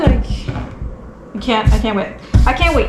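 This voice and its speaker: In a Quebec accent, a woman speaks at a very slow pace with audible room echo and noticeable background noise. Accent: French-Canadian accent in English. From Quebec, French Canada. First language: French. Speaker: homesteading vlogger and tattoo artist. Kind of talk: casual vlog tutorial. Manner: halting, searching for words; monotone.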